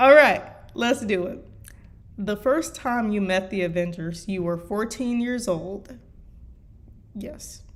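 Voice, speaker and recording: In a room with audible echo, a woman with an American accent talks at a very slow pace with lively intonation and long, frequent pauses. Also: medium pitch for a woman. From US Midwest. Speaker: fanfiction writer and streamer. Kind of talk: reading aloud. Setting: live stream. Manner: halting.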